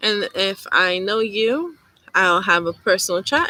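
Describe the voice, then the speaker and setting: A soft-spoken woman at medium pitch, lively intonation, and a dry, close sound with no echo. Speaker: witchcraft YouTuber. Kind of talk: live stream chat. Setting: YouTube live stream. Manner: rambling, casual.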